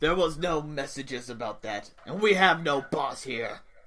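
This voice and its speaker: A man's put-on character voice, fairly high in pitch, with lively intonation and a moderate pace. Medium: actual play. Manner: gruff, suspicious.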